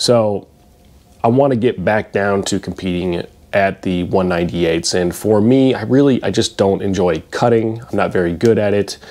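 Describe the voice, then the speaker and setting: A man's fairly slow delivery with ordinary pitch variation. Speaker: fitness vlogger. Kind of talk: casual vlog chat. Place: home room. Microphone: lapel.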